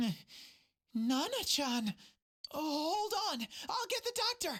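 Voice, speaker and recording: A put-on character voice sits at a high pitch and swings very widely up and down. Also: fairly slow pace. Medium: video game.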